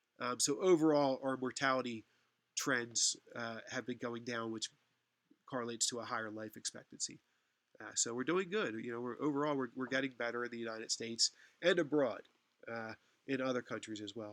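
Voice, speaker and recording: Talking at a fairly quick pace, a man uses ordinary pitch variation but leaves long, frequent pauses. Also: medium pitch for a man. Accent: Philadelphia. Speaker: university lecturer. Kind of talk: online lecture. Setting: online class session. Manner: hesitant, many fillers.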